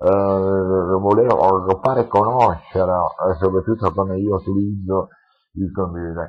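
This man speaks at a very slow pace. His pitch sits fairly low. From Sicily, Lentini (Siracusa province). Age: 40s. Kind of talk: interview testimony. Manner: halting, many fillers and repetitions. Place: home room. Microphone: headset.

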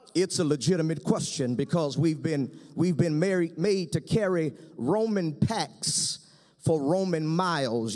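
A man talks fairly slowly, his pitch shifting an ordinary amount, with the surroundings quiet. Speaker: pastor. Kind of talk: sermon. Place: stage. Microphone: podium.

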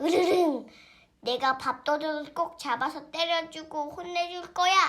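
A put-on character voice, high-pitched and growling, at a moderate pace. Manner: growling, furious.

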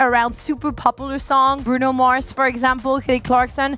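A woman with a high voice is heard in a dry sound with no echo, faint music playing in the background. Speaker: gaming content creator. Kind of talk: casual game review chat. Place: home room. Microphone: headset.

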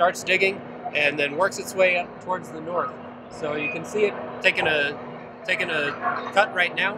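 The speech moves at a moderate pace with ordinary pitch variation. The sound is dry with no echo, though there is noticeable background noise. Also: man. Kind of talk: interview answer. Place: open country.

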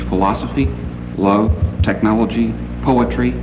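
Someone speaks at a moderate pace against noticeable background noise. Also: man. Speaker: science fiction author and critic, convention guest of honor. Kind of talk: formal convention speech, literary criticism lecture. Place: hall. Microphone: old recording.

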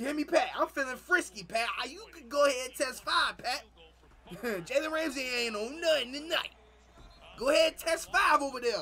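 A man uses a raised, projected voice at an extremely high pitch, with an animated, playful tone and big swings in loudness. His pace is moderate, his pitch variation ordinary, and light background noise is present. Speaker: YouTube reaction streamer. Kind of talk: live reaction to game highlights, casual chat with viewers. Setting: streaming, playing game highlights. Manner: animated, loud, hyped, talking back to the screen; playful, teasing, trash-talking. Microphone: headset.

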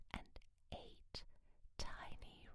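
A woman whispers very slowly in a soothing tone. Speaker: reader, narrator. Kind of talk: ASMR story reading. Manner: soothing, soft. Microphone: studio mic.

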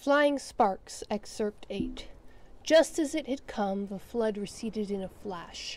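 Aloud reading in a natural voice

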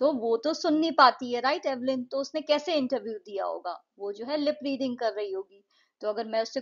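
With lively intonation, a woman speaks in a high voice at a moderate pace. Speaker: English teacher. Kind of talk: lecture.

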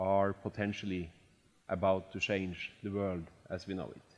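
A man with a fairly low voice talks at a fairly slow pace. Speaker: event host. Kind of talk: formal introductory speech. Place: hall. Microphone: headset.

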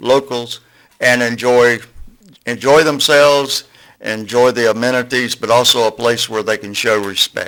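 With a Southern US accent and a bright, sharp tone, the speaker talks at a fairly slow pace with fairly even intonation. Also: man. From US South, Florida Panhandle (Port St. Joe). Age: 60s. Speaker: community speaker at public meeting. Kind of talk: public comment at county meeting. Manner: unprepared, halting.

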